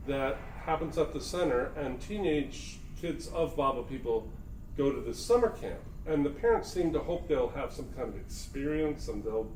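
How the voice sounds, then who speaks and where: A man talks at a moderate pace in an American accent. There is audible room echo. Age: 60s. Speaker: spiritual talk host. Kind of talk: casual conversation. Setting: recorded talk in Myrtle Beach.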